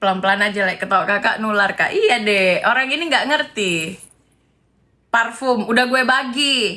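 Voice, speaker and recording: A woman with a bright, sharp tone and a fairly high pitch sounds animated, keeping very even loudness and ordinary pitch variation. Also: moderate pace. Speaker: live streamer commenting on celebrity gossip. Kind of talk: casual live stream chat.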